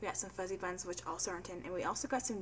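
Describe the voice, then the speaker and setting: A woman's medium-pitched voice with vocal fry. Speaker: pregnancy vlogger. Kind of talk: casual vlog monologue. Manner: fast.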